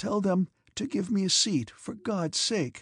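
A raspy man with a high pitch speaks at a fairly slow pace, using lively intonation. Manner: hesitating, piteous, pleading.

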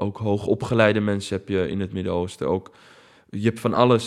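Fairly even intonation at a moderate pace on a very clean recording with a silent background. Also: man. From Netherlands, of Palestinian family. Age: 30s. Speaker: documentary maker. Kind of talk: interview.

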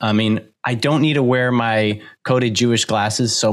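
A plain, everyday voice at a moderate pace. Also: man. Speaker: podcast host, documentary filmmaker. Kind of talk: casual chat.

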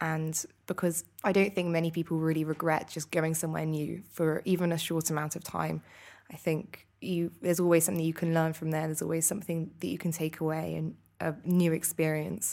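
In a British accent, a woman talks at a fairly quick pace with a fairly low pitch and monotone, flat intonation. The recording is very clean, with a silent background. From UK. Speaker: master's student. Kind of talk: casual interview. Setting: hotel, live recording.

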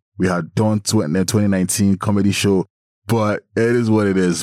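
A man's voice, dry and close with no echo. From Nigeria. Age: 20s. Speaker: event promoter and creative. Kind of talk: casual chat.

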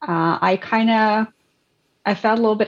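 A woman speaking at a fairly slow pace. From Ukraine. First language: not English, learned English as a second language. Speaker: podcast guest. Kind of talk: slightly formal, bookish English.

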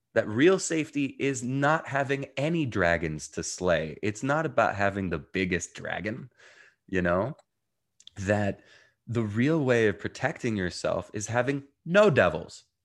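Speaking fairly slowly in a quiet background, a man with an American accent uses a medium pitch, vocal fry and very wide pitch swings. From New Jersey, US. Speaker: mindfulness coach. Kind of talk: interview.

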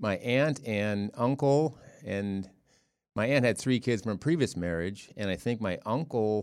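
A man with an American accent speaks fairly slowly in a normal speaking voice at a medium pitch with ordinary pitch variation. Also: very clean recording, silent background. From Ohio, US Midwest. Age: 60s. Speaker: father of the hosts. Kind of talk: casual chat.

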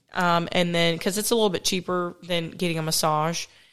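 A woman's fairly low voice at a moderate pace, in a very clean recording, silent background. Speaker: podcast co-host. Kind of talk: casual chat.

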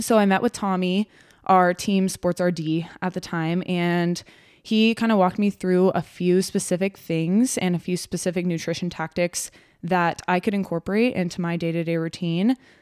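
A woman with an American accent speaks in a normal speaking voice at medium pitch and a moderate pace, with fairly even intonation. The recording is very clean with a silent background, dry and close with no echo. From Texas. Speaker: sports dietitian, podcast co-host. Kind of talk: casual chat.

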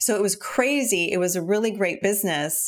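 A woman speaks with ordinary pitch variation. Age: 50s. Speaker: business mentor and podcaster. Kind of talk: interview conversation. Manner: animated.

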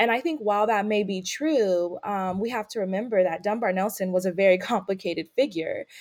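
Here is a woman with an American accent and an ordinary speaking voice. Her pitch is medium, her pace moderate, and her intonation fairly even. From California, Bay Area. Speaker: PhD researcher. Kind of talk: interview.

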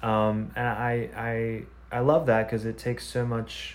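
A man speaks with an American accent at a medium pitch. Room echo is audible. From US Midwest. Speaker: podcast host. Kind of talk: casual interview. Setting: video call.

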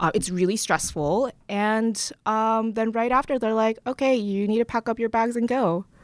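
A woman's fairly high-pitched, unremarkable speaking voice at a moderate pace, with ordinary pitch variation, very even loudness and hardly any pauses, on a very clean recording against a silent background. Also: dry, close sound with no echo. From born in Korea, raised partly in Canada. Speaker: founder and CEO of a remote design firm. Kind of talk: casual interview. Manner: laughs often.

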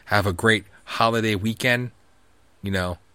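With a bright, sharp and animated tone, a man speaks in a fairly low pitch. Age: 30s. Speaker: podcast host. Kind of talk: solo rant podcast. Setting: live stream. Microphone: new microphone.

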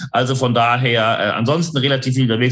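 A man's voice against noticeable background noise. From northern Germany, Hamburg. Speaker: leadership consultant. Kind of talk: interview conversation.

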